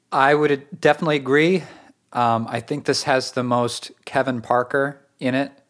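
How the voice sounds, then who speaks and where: A man talks at a moderate pace with medium pitch and fairly even intonation, in an ordinary speaking voice. The recording is very clean, with a silent background. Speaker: podcast host and musician. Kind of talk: casual chat about music. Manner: casual, filler-heavy, friendly.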